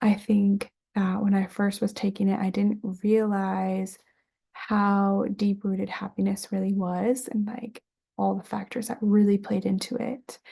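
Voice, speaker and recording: A woman's medium-pitched, somewhat breathy voice with a dark, mellow tone, flat monotone intonation and a fairly slow pace. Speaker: student. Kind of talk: class presentation video. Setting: home bedroom, recording on camera.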